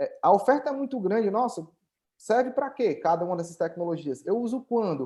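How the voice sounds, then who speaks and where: Fairly quick speech from a man with a northeastern Brazilian accent, an extremely high pitch, a dark, mellow tone and lively intonation, over a quiet background. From Brazil, Northeast (Ceará). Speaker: tech company founder and CEO. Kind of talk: webinar presentation. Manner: hesitant, many filler repetitions.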